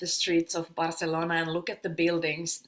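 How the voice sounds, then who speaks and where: A non-native accent shapes this woman's fairly low-pitched voice. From Finland. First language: Finnish. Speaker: sound healer and yoga teacher. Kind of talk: casual interview.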